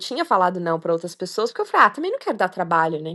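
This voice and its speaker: Over a quiet background, a woman speaks with a bright, sharp tone. Her pitch swings very widely. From Minas Gerais, Brazil. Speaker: long-distance hiker. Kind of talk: interview. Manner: hesitant, many fillers.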